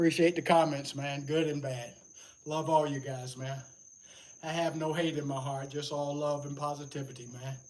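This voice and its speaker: A man's fairly high, flat, monotone voice with long, frequent pauses and audible room echo. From US South, Atlanta, Georgia. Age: 70s. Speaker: fitness livestreamer. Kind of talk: livestream workout chat. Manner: casual.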